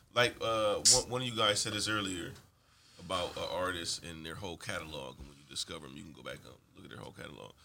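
With an American accent, a man talks at a very fast pace in a very deep, low pitch with vocal fry. His tone is bright and sharp, his intonation lively and his loudness swings widely. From Ohio, Akron. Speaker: rapper. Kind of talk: interview.

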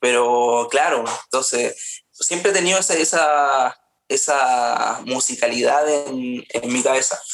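A man speaks at a very slow pace. His pitch is fairly high and his loudness very even. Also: ordinary pitch variation. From Chile, Paine (central Chile). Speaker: singer. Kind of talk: interview conversation.

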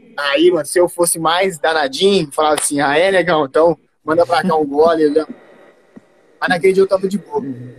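A man with a high pitch and ordinary pitch variation talks at a moderate pace. The sound is dry and close, with no echo. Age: 20s. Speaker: podcast guest. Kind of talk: casual chat. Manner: serious.

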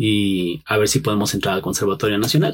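A man speaks in a somewhat breathy voice. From Mexico, Pachuca and State of Mexico. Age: 30s. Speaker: musician, guitarist. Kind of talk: interview.

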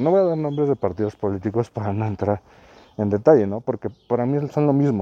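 The man's voice has a dark, mellow tone with ordinary pitch variation. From Mexico. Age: 30s. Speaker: podcast host. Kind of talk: casual monologue while walking. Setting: outdoors, walking in neighborhood. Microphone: muffled by two face masks and face shield.

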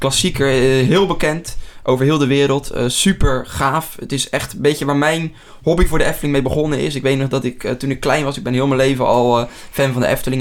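This is an ordinary speaking voice from a man with a fairly high pitch. He talks at a fairly quick pace with fairly even intonation. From Netherlands, near Rotterdam. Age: 20s. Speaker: podcast host. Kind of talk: casual chat.

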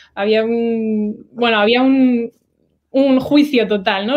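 A woman's fairly high pitch with ordinary pitch variation at a fairly slow pace. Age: 20s. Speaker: oceanographer. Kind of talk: interview. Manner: halting.

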